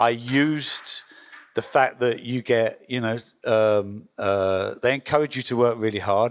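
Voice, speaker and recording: A man with an English accent speaks at a medium pitch with fairly even intonation. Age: 60s. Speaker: record label founder. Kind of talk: panel talk. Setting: workshop with audience. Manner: hesitant, many fillers.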